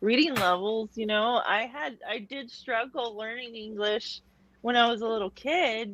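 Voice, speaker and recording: Her pitch runs fairly high. The woman keeps a moderate pace. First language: Portuguese. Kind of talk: casual chat.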